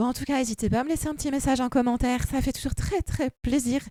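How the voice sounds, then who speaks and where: A woman speaks in a high pitch with a dark, mellow tone on a very clean recording with a silent background. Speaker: gaming youtuber. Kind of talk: vlog monologue. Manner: hesitant.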